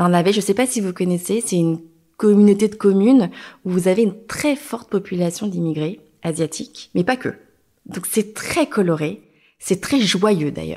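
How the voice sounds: A woman speaks at a medium pitch with a dark, mellow tone. Her intonation is lively and her pace moderate.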